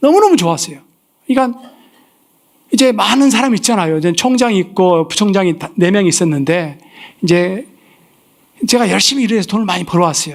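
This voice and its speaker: Very fast and animated, a man talks at a high pitch with lively intonation and long, frequent pauses. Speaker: missionary preacher. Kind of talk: sermon with personal testimony. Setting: church service. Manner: animated, storytelling.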